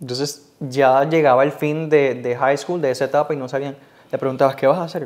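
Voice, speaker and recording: With monotone, flat intonation, a man speaks at a fairly quick pace and a fairly high pitch. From Puerto Rico, Cidra mountain town. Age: 20s. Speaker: TV news reporter. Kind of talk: interview.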